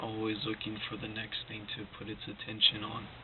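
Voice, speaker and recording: Quietly and at a moderate pace, a man speaks in a fairly low voice over noticeable background noise. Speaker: motivational vlogger. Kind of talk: casual motivational monologue. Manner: quiet, low-energy; halting, repetitive.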